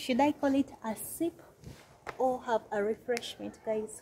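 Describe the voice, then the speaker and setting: Light background noise sits under a woman's high-pitched voice. She speaks at a very slow pace with ordinary pitch variation. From Uganda. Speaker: travel vlogger. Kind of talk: travel vlog walkthrough. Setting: outdoors. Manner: animated. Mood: cheerful, relaxed. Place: cafe. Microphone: phone near.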